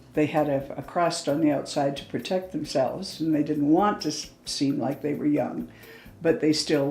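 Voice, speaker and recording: A woman with a Canadian accent and a very deep, low pitch, fairly even intonation and a moderate pace, with music in the background. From Canada, Calgary. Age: 70s. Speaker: retired teacher. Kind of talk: interview testimony. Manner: hesitant fillers.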